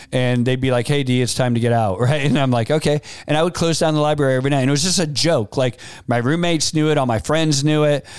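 A man at a very fast pace, fairly high pitch, ordinary pitch variation and very even loudness. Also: very clean recording, silent background. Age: 50s. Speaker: podcast host and entrepreneur. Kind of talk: solo motivational talk. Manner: conversational, with fillers and restarts.

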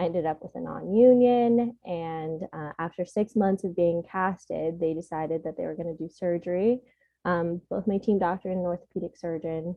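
A woman talks with an American accent at fairly low pitch. Her pace is moderate and her pitch variation ordinary. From US West Coast, San Diego, California. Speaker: podiatric medical student. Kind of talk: interview.

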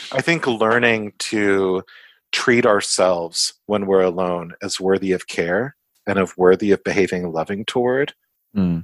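On a very clean recording with a silent background and dry, close sound with no echo, a man with an American accent speaks at a fairly slow pace in an ordinary speaking voice, at fairly low pitch with ordinary pitch variation. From US (Kansas, part of youth in the Netherlands). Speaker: psychology professor and therapist. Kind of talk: podcast interview.

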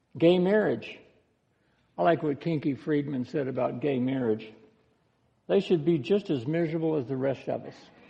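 Taking long, frequent pauses, a man with a fairly high pitch speaks at a moderate pace with lively intonation. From United States. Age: 60s. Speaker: pastor. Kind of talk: sermon.

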